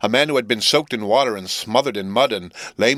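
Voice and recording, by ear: The words are read aloud. The voice doing it sounds natural.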